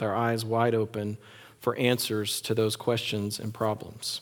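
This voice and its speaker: A man with a Texan accent speaks at a moderate pace and medium pitch. The recording is very clean, with a silent background. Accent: Texan (US Southern) English. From West Texas. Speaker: pastor. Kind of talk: sermon.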